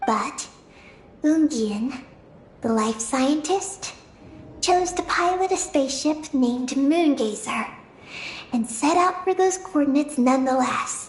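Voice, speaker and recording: A high-pitched, put-on character voice moves at a fairly slow pace. Long pauses come often. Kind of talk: solemn lore narration. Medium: video game. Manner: measured, calm.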